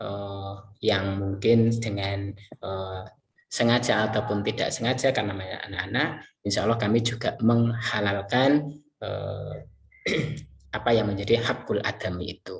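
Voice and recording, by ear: A man with a fairly low pitch and vocal fry talks at a moderate pace, with audible room echo.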